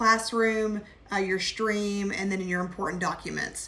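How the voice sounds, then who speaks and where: A woman talks at a moderate pace in a monotone, flat intonation. Noticeable background noise and audible room echo are present. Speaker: college instructor. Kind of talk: online class orientation. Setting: video call.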